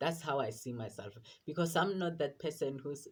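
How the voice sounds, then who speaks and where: A man talks in a somewhat breathy voice. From South Africa, rural area. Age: 20s. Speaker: vlogger. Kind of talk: casual personal vlog. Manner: halting, many fillers and repetitions.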